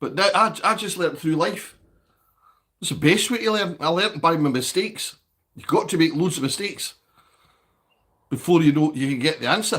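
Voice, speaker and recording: High-pitched man with a Scottish accent at a fairly quick pace, with ordinary pitch variation, long, frequent pauses and a very clean recording over a silent background. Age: 60s. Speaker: livestreamer, recovering alcoholic. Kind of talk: casual livestream chat reading comments. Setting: livestream.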